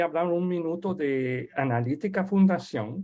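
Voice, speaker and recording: The speaker uses a French accent at a fairly slow pace against a quiet background. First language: French (speaking Spanish). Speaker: webinar host. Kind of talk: webinar introduction. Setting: online webinar. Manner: halting.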